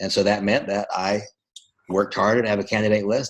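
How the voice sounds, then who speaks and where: A man talks at a very fast pace. His pitch sits fairly low. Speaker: network marketing trainer. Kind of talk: coaching call talk.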